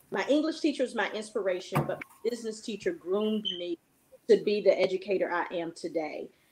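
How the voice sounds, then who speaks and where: A woman with a plain, everyday voice speaks fairly quickly in a fairly high pitch with lively intonation. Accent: American. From Richmond, Virginia. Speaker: English teacher. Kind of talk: panel discussion.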